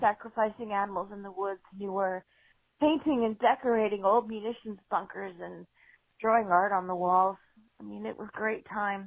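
A woman with an ordinary speaking voice and an American accent, medium in pitch, at a moderate pace, with fairly even intonation and big swings in loudness. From US Northeast, South Shore Massachusetts. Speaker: caller. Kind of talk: voicemail story. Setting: phone call.

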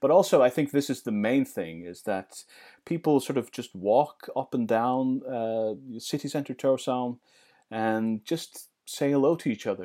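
On a very clean recording with a silent background, a man with a medium pitch and a dark, mellow tone talks at a fairly slow pace with ordinary pitch variation. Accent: Faroese. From Faroe Islands. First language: Faroese. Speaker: interviewee, local resident. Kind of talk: interview.

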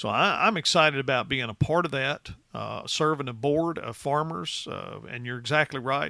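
This man has a fairly high pitch, a bright, sharp tone, and vocal fry, with a West Tennessee accent. His intonation is lively and his pace moderate. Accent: West Tennessee Southern US. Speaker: agricultural policy director. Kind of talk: interview.

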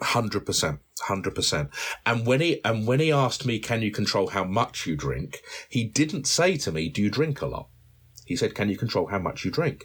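A man talks with vocal fry and very wide pitch swings. The recording is very clean, with a silent background. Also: medium pitch for a man, moderate pace. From South London. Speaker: recovering alcoholic. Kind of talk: testimony.

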